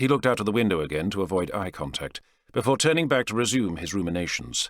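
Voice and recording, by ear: Big pitch swings and a fairly bright tone come at a fairly quick pace on a very clean recording with a silent background. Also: man.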